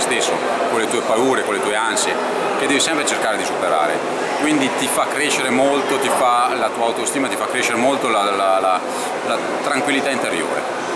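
Over loud background noise, a man talks very fast with ordinary pitch variation. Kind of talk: interview answer. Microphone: phone near.

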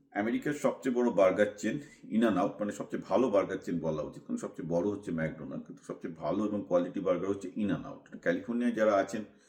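An ordinary speaking voice from a man, fairly low, with ordinary pitch variation and big swings in loudness. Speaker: commentator / vlogger. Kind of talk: monologue commentary.

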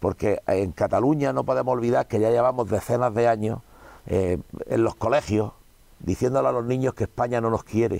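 Delivered at a moderate pace, the voice has a dark, mellow tone and very even loudness, with a dry sound and no echo. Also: man. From Spain. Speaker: politician. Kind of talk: interview. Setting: cinema room. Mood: indignant political criticism. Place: studio. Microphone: lapel.

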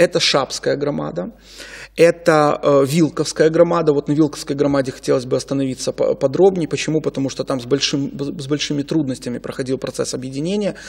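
With an ordinary speaking voice, a man talks at a fairly quick pace in a fairly high pitch, with ordinary pitch variation against a quiet background. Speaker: legal expert. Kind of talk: studio interview. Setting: studio. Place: studio. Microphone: studio mic.

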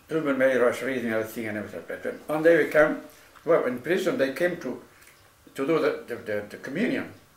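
In a room with audible echo, a man with a fairly high voice talks very fast, his loudness swinging widely. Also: lively intonation. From Spain. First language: Spanish. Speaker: Spanish Civil War veteran, anarchist. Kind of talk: casual chat. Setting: at home. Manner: halting. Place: kitchen. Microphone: camera far.

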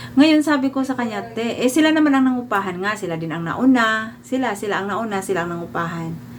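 Over noticeable background noise, a woman with a fairly high pitch talks at a fairly quick pace with lively intonation and hardly any pauses. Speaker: vlogger. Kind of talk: storytelling monologue.

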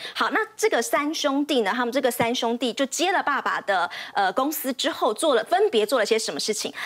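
Very wide pitch swings at a fairly quick pace. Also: woman, high pitch for a woman. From Taiwan. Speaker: TV finance reporter. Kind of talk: TV finance panel storytelling. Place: studio.

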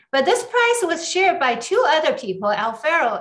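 A woman speaks with a high voice against a quiet background. Her pitch swings very widely. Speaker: semiconductor researcher; speaker. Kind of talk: academic talk.

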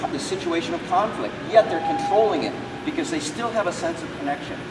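A man's very fast speech over loud background noise. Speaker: martial arts instructor. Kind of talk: teaching explanation during a seminar. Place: hall. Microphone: camera far.

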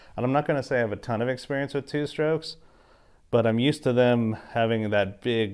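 A man's unremarkable speaking voice at a moderate pace, with ordinary pitch variation and a quiet background. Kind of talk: casual vlog chat. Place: garage.

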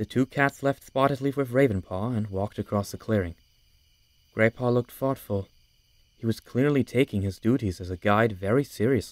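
A man speaks at medium pitch and a fairly quick pace, with ordinary pitch variation and an unremarkable speaking voice. The recording is very clean and dry, close with no echo, over a silent background. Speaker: audiobook narrator. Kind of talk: voice-acted audiobook narration.

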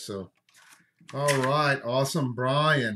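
A man speaks with ordinary pitch variation against light background noise. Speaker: card break host. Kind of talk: live stream commentary. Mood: upbeat, casual. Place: home room. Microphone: webcam.

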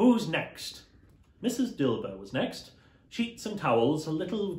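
A man talks at a medium pace, and the room's echo is clearly heard. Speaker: costumed storyteller. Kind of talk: dramatic reading of a classic novel with character voices. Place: home room.

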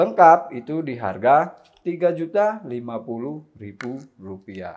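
Against a quiet background, the speaker delivers an upbeat tone at a very slow pace with very wide pitch swings. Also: man. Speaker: air rifle shop salesman and video host. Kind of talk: sales pitch. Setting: shop showroom with rifles on display. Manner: upbeat, fluent salesman patter; rattles off models and prices briskly. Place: shop. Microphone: lapel.

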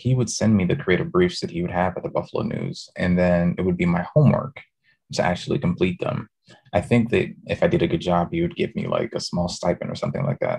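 A man's medium-pitched, somewhat breathy voice with a New York accent, very fast pace and very wide pitch swings. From New York City, the Bronx. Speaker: design professor. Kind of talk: interview conversation. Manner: repeats words, restarts sentences.

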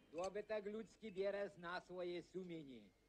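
Light background noise sits behind a man's high-pitched voice. He speaks at a very slow pace with lively intonation. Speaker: head shepherd. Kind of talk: acted dialogue in regional dialect. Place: open country.

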